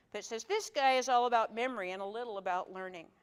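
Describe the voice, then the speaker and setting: With ordinary pitch variation, the woman speaks at a fairly quick pace. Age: 60s. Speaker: workshop presenter. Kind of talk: workshop talk. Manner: halting.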